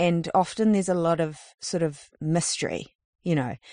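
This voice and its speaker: A woman at a fairly low pitch and moderate pace, with fairly even intonation, in a dry, close sound with no echo and a quiet background. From New Zealand, far north. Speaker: street artist. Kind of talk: interview. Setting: in a campervan.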